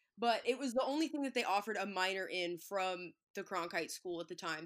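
At a medium pitch and ordinary pitch variation, a woman talks very fast on a very clean recording with a silent background. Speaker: sports media personality. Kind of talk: casual interview.

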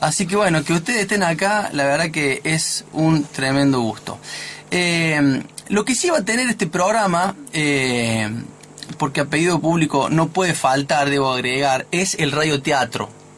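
Against noticeable background noise, a man with a fairly high pitch speaks with lively intonation and very even loudness. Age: 50s. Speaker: radio host. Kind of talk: casual chat. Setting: studio.

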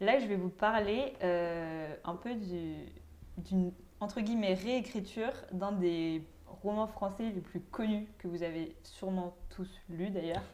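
A woman at medium pitch with ordinary pitch variation and a very slow pace. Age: 20s. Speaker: law student, podcast co-host. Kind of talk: casual chat.

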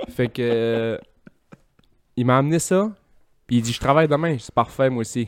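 Here a man speaks with a Quebec accent at a medium pitch. He moves at a moderate pace with ordinary pitch variation and long, frequent pauses. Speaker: podcast guest. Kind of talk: casual chat.

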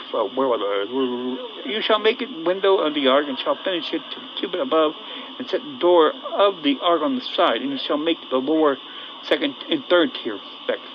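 Pitched fairly high, a man speaks at a moderate pace with very wide pitch swings. Noticeable background noise runs beneath him. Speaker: bible teacher. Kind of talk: scripture reading with commentary. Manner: halting.

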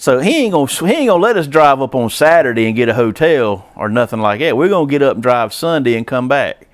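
A man talks at a fairly quick pace with a Southern US accent. His fairly high pitch swings very widely. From US South, Georgia-Alabama line. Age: 40s. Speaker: racing fan and amateur driver. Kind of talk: casual chat.

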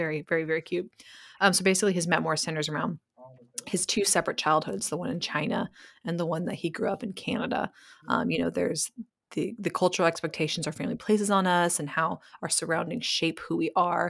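A woman with a fairly low pitch and vocal fry talks at a very fast pace. The recording is very clean, with a silent background. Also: ordinary pitch variation. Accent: American. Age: 30s. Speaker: podcast host. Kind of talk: casual chat.

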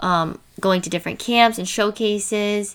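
With a plain, everyday voice and an American accent, a woman speaks at a medium pitch and a fairly slow pace with ordinary pitch variation, in a very clean recording with a silent background. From New Jersey, US. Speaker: college softball player, podcast host. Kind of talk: casual chat. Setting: home.

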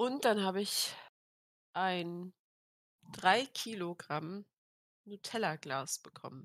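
With lively intonation, a woman speaks at a very slow pace with long, frequent pauses, recorded dry and close with no echo. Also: medium pitch for a woman. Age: 18. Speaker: podcast co-host. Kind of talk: casual chat.

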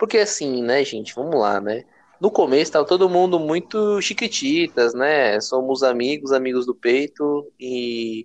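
Fairly slow in pace, a man speaks with lively intonation. His voice sits fairly high. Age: 20s. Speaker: podcast co-host. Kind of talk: casual chat.

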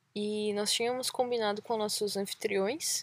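Her voice is fairly high, and this woman shows ordinary pitch variation. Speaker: travel podcast host, cyclist. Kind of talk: casual chat. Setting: outdoors by a lake.

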